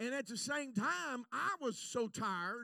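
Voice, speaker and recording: Raised and projected, a man's extremely high voice sounds bright, sharp and animated, with very wide pitch swings. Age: 60s. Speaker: evangelist. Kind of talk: sermon. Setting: church.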